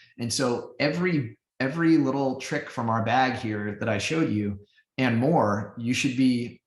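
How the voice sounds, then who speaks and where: A man's somewhat breathy voice at medium pitch. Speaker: business strategy expert presenting a webinar. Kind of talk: webinar Q&A answers.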